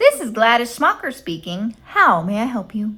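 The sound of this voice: A woman uses a put-on character voice at a fairly high pitch with lively intonation. She keeps a moderate pace while her loudness swings widely.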